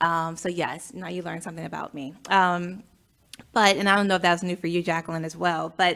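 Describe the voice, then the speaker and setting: A woman's bright, sharp voice at a fairly quick pace, with monotone, flat intonation and big swings in loudness. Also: fairly low pitch for a woman. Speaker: podcast host, chapter president. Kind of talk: casual interview chat. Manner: hesitant, many fillers.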